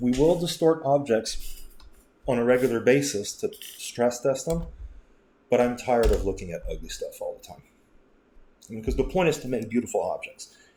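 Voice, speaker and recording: A man speaks at a moderate pace with big swings in loudness. His speech has long, frequent pauses. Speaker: software tutorial creator. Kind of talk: screen-recorded software tutorial. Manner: casual with self-corrections.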